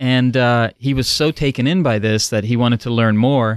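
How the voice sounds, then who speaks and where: In a very clean recording with a silent background and a dry, close sound with no echo, a man with a Dutch accent talks at a moderate pace and medium pitch, keeping his intonation fairly even. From Netherlands. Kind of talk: roundtable chat.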